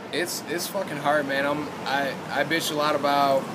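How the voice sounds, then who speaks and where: A man with an American accent speaks at a medium pitch and moderate pace. Audible room echo and noticeable background noise are present. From Michigan, US Midwest. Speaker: rapper. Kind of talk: casual interview. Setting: outdoors after a show.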